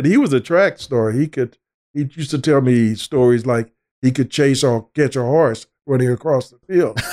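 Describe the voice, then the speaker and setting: A man's dark, mellow voice at medium pitch comes through dry and close with no echo, keeping a moderate pace and ordinary pitch variation. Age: 70s. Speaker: multidisciplinary artist. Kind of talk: casual chat.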